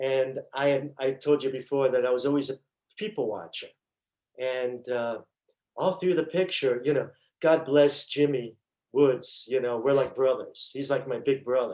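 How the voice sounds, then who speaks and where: Speaking with a New York accent, a man uses a dark, mellow tone at medium pitch, a moderate pace and ordinary pitch variation. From New York (Brooklyn). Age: 60s. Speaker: stuntman and actor. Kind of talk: interview storytelling. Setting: podcast.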